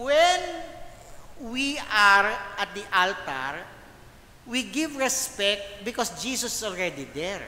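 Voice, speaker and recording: Long pauses break up the speech frequently. Everything is delivered very slowly. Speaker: priest leading liturgical formation. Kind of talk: lecture. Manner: loud; animated.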